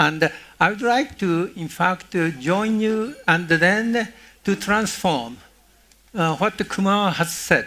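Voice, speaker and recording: The voice is raised and projected, with lively intonation, at a very slow pace. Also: man, high pitch for a man. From Japan. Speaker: former UN diplomat. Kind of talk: panel discussion.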